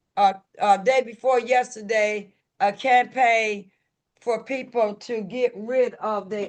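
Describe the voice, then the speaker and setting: The speaker talks with a Southern US accent. The pace is very slow. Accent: Southern US rural. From US South, rural. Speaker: recovery group leader. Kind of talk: recovery meeting talk. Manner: animated.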